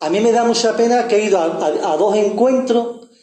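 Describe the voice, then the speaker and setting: A man with a high-pitched voice is heard with audible room echo. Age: 70s. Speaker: activist. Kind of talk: public speech. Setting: panel event with audience. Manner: halting.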